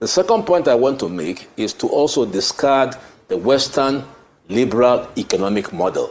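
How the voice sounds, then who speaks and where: A man speaks at a medium pitch and a moderate pace. His voice has vocal fry and very wide pitch swings. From southeast Nigeria. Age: 70s. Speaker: political commentator. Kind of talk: TV panel discussion.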